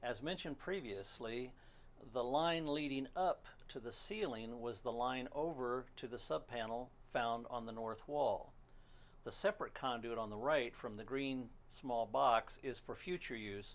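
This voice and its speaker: A man's plain, everyday voice, medium in pitch, at a moderate pace with ordinary pitch variation. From moved often: Pennsylvania, Maryland, Alaska, western US, Canada. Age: 60s. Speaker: hobbyist machinist, DIY builder. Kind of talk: narrated slideshow commentary.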